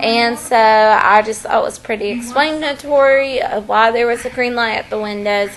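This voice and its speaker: Noticeable background noise sits behind a woman speaking at a moderate pace. Her pitch is fairly high with ordinary variation. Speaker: vlogger. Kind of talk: storytime monologue. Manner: casual, filler-heavy.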